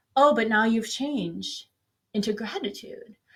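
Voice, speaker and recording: Somewhat breathy, a woman talks at a moderate pace with lively intonation. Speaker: meditation guide. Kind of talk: guided meditation. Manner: casual, conversational, with frequent filler pauses.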